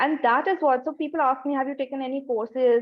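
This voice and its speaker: With an Indian accent, a woman speaks at a fairly quick pace in a high pitch. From India, Jaipur. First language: Hindi. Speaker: content writer and coach. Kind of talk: webinar talk.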